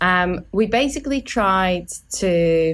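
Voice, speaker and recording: A woman's fairly low voice on a very clean recording with a silent background. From Poland. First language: Polish. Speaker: student team lead on a renewables project. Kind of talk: casual interview. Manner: halting, many fillers.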